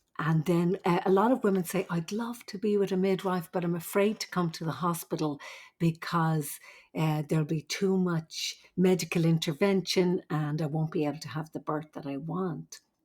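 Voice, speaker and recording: In an Irish accent, a woman speaks at a moderate pace, fairly low in pitch with fairly even intonation, on a very clean recording with a silent background. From Ireland. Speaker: nurse midwife. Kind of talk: interview.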